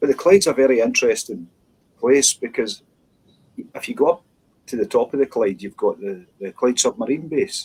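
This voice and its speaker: Speaking with a Scottish accent at a moderate pace, a man swings widely in loudness and leaves long, frequent pauses. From west of Scotland (Dumbarton). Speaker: minister. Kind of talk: interview. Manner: halting.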